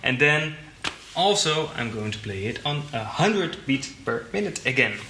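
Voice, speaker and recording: With noticeable background noise and audible room echo, a man speaks at a fairly high pitch with very wide pitch swings. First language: not English. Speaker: drum teacher. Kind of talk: tutorial.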